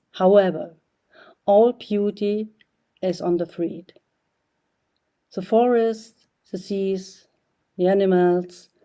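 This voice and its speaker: Speaking very slowly with long, frequent pauses, a woman with a German accent has a dark, mellow tone, medium pitch and fairly even intonation. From East Germany. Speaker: artist. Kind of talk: prepared video message. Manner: halting.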